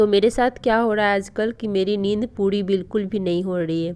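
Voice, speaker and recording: The tone is dark and mellow. Delivery is at a moderate pace with fairly even intonation. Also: woman. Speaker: vlogger and exam aspirant. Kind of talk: casual vlog talk.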